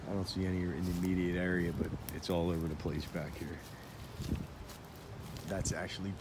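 A man at a moderate pace, dry with no echo, over loud background noise. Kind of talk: casual vlog chat. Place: forest. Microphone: phone near.

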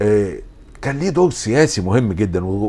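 A man speaks with an Egyptian accent. Audible room echo and noticeable background noise accompany his voice. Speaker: philosophy lecturer. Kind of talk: lecture.

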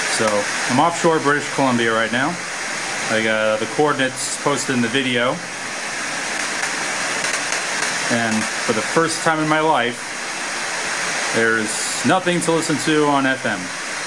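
Against loud background noise, a man speaks with ordinary pitch variation and long, frequent pauses. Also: moderate pace. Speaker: radio hobbyist. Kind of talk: casual vlog chat. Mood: amazed, quiet. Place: boat. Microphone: phone near.

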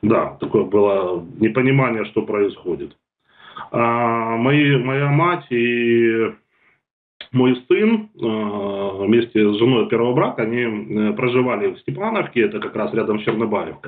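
Very slow speech with ordinary pitch variation. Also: man. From Ukraine, Kherson; Ukraine. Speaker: war refugee; guest. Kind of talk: testimony. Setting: video call. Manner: halting. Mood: sombre, emotional recounting. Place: home room. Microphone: video call.

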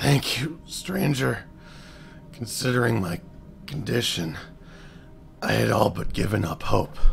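A man's raspy, put-on character voice at a medium pitch, fairly slow with long, frequent pauses, over clear music in the background. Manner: grateful, desperate.

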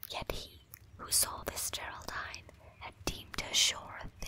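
A fairly slow whisper amid noticeable background noise. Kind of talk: poetry reading; ASMR. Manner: whispered.

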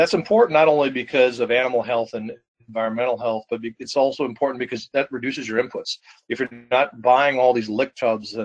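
Over a quiet background, a man with an American accent talks at a fairly quick pace with fairly even intonation. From Wisconsin. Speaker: farmer and co-op manager; webinar presenter. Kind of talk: webinar presentation. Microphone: video call.

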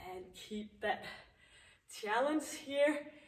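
A high-pitched female voice amid audible room echo. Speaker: fitness instructor. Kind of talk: workout instruction. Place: gym.

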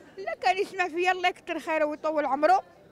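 There is light background noise. The sound is dry, with no echo. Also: woman. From Morocco. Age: 70s. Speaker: elderly street beggar; interviewee. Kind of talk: street interview testimony. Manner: emotional, halting. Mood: sorrowful, pleading. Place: street. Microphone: handheld.

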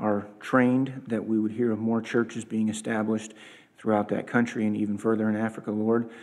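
Here a man speaks at a medium pitch with a dark, mellow tone. His pace is moderate. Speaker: church leader. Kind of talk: announcements and prayer. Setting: church. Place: church. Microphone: podium.

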